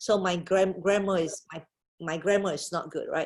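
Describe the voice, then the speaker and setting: A woman's somewhat breathy, medium-pitched voice at a fairly quick pace. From Malaysia. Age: 50s. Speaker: business leader. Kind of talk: webinar Q&A. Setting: video call.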